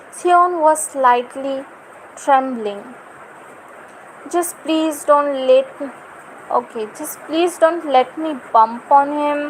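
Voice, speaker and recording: A woman's high-pitched, very slow speech with ordinary pitch variation and noticeable background noise. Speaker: fan fiction reader. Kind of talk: reading aloud. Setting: livestream.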